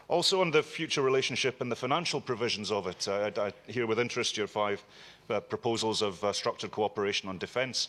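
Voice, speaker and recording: A man with a Scottish accent, very fast pace, medium pitch and ordinary pitch variation. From Scotland. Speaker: member of parliament. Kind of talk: parliamentary committee question.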